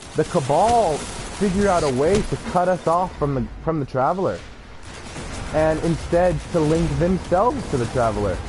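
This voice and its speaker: A man with an American accent and a fairly high pitch talks at a moderate pace with lively intonation and very even loudness. Noticeable background noise runs underneath. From California. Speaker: gaming streamer. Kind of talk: live gameplay stream talk. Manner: halting, many fillers.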